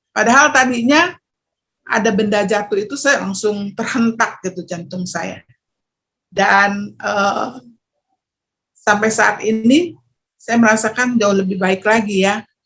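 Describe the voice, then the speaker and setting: Her pitch varies in an ordinary way as the woman talks at a very slow pace. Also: fairly high pitch for a woman. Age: 50s. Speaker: testimonial giver. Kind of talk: testimony. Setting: video call. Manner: hesitant, with fillers.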